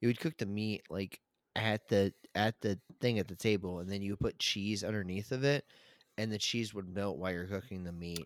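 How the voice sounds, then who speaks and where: A man with an American accent and a plain, everyday voice talks at a fairly quick pace, with a fairly low pitch and fairly even intonation. The recording is very clean, with a silent background and a dry, close sound with no echo. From US Mid-Atlantic, Maryland. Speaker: podcast host. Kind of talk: casual chat.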